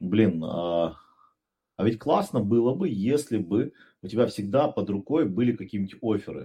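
A man with a dark, mellow tone speaks at a medium pitch and moderate pace. His intonation is lively, broken by long, frequent pauses. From Pyatigorsk, southern Russia. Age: 30s. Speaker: startup founder and businessman. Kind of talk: casual podcast interview. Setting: studio.

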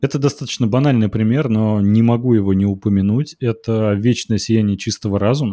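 A man's medium-pitched, dark, mellow voice at a fairly quick pace, with hardly any pauses, very even loudness, fairly even intonation and a quiet background. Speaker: film critic podcast co-host. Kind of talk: casual chat.

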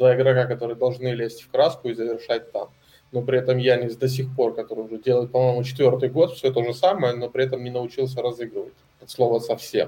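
A man speaks very fast at a medium pitch, his tone dark, mellow and somewhat breathy. His loudness swings a lot. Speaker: basketball blogger, podcast guest. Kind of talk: casual chat. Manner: animated, cheerful.

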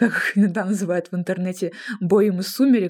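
Using a plain, everyday voice, a woman speaks at a moderate pace, her pitch varying in an ordinary way. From Russia, Kemerovo (Siberia). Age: 20s. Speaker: film director and podcast co-host. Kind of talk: casual chat.

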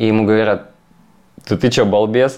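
A man's fairly low-pitched voice with fairly even intonation. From Russian Far East, Magadan. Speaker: yoga teacher. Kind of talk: podcast interview.

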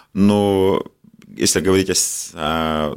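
This man's intonation is lively. The recording is very clean, with a silent background. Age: 50s. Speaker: doctor and medical business owner. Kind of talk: interview.

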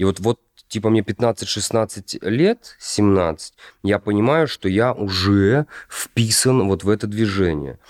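A man's fairly low voice at a very slow pace with ordinary pitch variation, dry and close with no echo, on a very clean recording with a silent background. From Russia, Kostroma. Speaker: actor. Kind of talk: casual chat.

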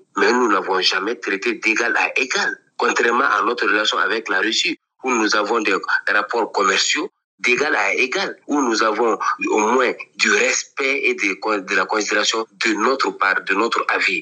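A man talks at a fairly slow pace with very even loudness. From Mali. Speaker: journalist. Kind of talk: interview.

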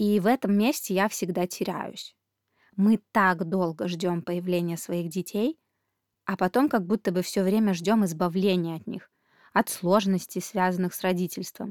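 A woman with a normal speaking voice talks at a fairly slow pace and medium pitch, with ordinary pitch variation. Her loudness swings widely, and the very clean recording has a silent background. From Belarus. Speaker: parenting podcast host. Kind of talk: podcast monologue.

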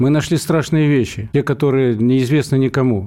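This man's tone is dark and mellow, his pitch medium with ordinary variation. He speaks at a fairly quick pace. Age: 60s. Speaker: trade union leader. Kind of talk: radio interview.

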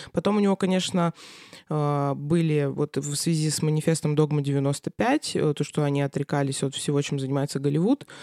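A woman with a very deep, low pitch and a dark, mellow tone, fairly slow pace and ordinary pitch variation, in a dry, close sound with no echo. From Russia, Krasnoyarsk. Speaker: cellist and music lecturer. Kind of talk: casual interview. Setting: studio.

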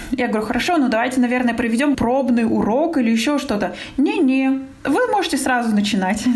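Speaking at a fairly quick pace, a woman with a high pitch and ordinary pitch variation is heard over noticeable background noise, with audible room echo. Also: very even loudness. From Russia. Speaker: business coach and marketing expert. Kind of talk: interview.

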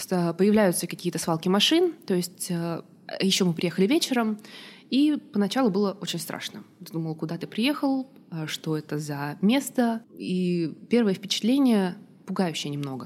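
A woman's normal speaking voice at medium pitch and a fairly slow pace, in a very clean recording with a silent background. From Russia. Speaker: diplomat. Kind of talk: interview.

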